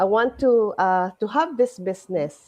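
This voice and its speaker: A woman speaks at a fairly high pitch. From Philippines. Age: 60s. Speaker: nurse and network marketer. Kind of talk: livestream testimony. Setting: live stream. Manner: halting.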